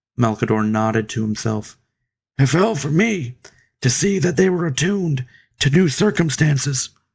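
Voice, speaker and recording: A man's raspy, put-on character voice at a fairly high pitch, with very wide pitch swings and a moderate pace. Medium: read story.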